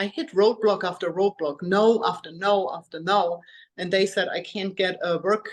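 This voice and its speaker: At a moderate pace, a woman speaks with a German accent. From Germany. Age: 40s. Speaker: health coach and personal trainer. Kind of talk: interview.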